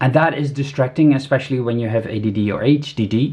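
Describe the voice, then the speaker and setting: At a moderate pace, a man with a non-native accent speaks in a somewhat breathy voice with ordinary pitch variation. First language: not English. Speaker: product reviewer. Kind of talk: product review. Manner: halting, many fillers.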